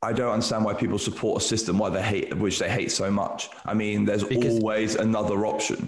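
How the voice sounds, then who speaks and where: Noticeable background noise sits behind this man's voice. He talks at a very fast pace with a fairly low pitch. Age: 30s. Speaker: CBD lab director. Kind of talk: casual interview chat. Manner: halting, repeats words.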